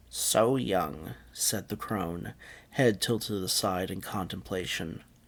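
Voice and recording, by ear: Pitch varies in an ordinary way. The speaker reads aloud in a natural voice.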